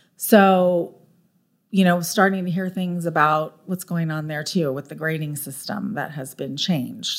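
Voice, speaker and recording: In a very clean recording with a silent background, a woman with a Californian accent speaks at a moderate pace in a fairly low pitch with ordinary pitch variation. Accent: Californian American. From Southern California, Orange County. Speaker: school board candidate. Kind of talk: interview.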